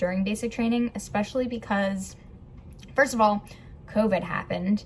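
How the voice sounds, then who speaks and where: A woman's medium-pitched voice sounds somewhat breathy and keeps a fairly even intonation. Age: 20s. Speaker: vlogger and Air Force trainee. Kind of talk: casual vlog. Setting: filming at technical school. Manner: casual, hesitant with fillers.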